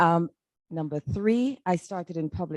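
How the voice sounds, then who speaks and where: A woman with a Jamaican accent speaks at a moderate pace in a very deep, low voice with a dark, mellow tone, in a dry, close sound with no echo. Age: 60s. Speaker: human resources staff. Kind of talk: meeting introductions.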